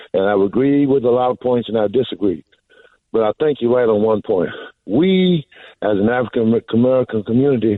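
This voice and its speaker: A man has a normal speaking voice at a medium pitch. He talks at a fairly quick pace. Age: 60s. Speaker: caller. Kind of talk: radio call-in.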